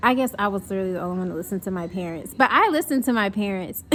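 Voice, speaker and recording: Using lively intonation, a woman with an American accent speaks in a bright, sharp tone. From US South, North Carolina. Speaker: vlogger. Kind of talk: casual vlog chat. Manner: casual, filler-heavy.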